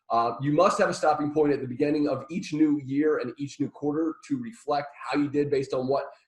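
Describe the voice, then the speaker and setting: A somewhat breathy man, fairly high in pitch, with ordinary pitch variation. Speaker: marketing trainer. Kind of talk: webinar presentation. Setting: live online webinar. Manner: fast; halting, many fillers and repeats.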